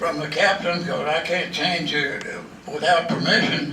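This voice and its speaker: A man's raised, projected voice at a moderate pace, with noticeable background noise. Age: 80s+. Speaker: WWII veteran. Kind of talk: interview answer.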